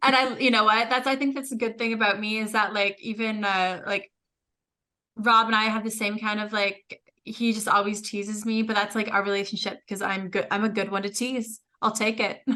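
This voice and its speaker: Loud and bright, with a sharp tone, a woman talks at a fairly quick pace. Her fairly high pitch stays monotone and flat. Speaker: podcast co-host. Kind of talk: casual chat.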